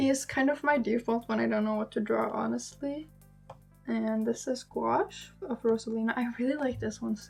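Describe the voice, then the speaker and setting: Background music accompanies the clip. A woman speaks at a moderate pace. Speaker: artist. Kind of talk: casual talk to camera.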